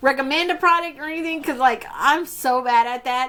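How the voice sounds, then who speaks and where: A woman's raised, projected voice with lively intonation. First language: Spanish. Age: 30s. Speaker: beauty YouTuber. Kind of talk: casual Q&A vlog. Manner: animated.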